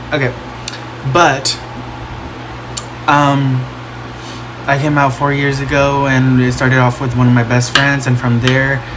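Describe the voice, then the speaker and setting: Noticeable background noise and audible room echo surround a fairly slow, monotone, flat delivery with an American accent and long, frequent pauses. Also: man, medium pitch for a man. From Texas, Plano/Dallas. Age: 20s. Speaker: makeup vlogger. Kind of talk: casual vlog tutorial.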